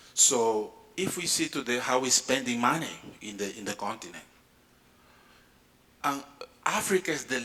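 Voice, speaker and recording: Over noticeable background noise, a man talks at a fairly slow pace. His medium-pitched voice has lively intonation. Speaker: space agency director. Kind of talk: conference panel talk.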